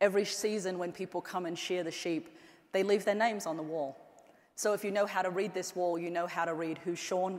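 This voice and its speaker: In an Australian accent, a woman speaks at medium pitch with fairly even intonation. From Australia, central and northern outback. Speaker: anthropologist and tech executive giving a keynote. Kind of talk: keynote speech. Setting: stage with audience.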